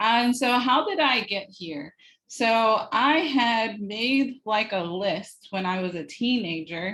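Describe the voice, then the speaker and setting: A woman with an American accent talks very slowly in a fairly high pitch, her intonation lively and her tone bright and sharp. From Maryland, US East Coast. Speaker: motivational speaker and chemical engineer. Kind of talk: live online presentation. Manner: hesitant, many fillers.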